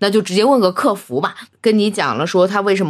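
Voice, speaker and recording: An unremarkable speaking voice moves at a fairly quick pace. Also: woman. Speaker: podcast co-host. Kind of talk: casual chat.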